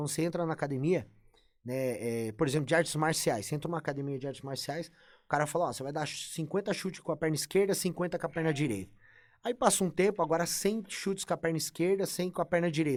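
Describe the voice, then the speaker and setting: On a very clean recording with a silent background, a man talks at a very fast pace in a fairly high pitch with ordinary pitch variation. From Brazil. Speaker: bodybuilding coach. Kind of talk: casual podcast interview. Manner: animated.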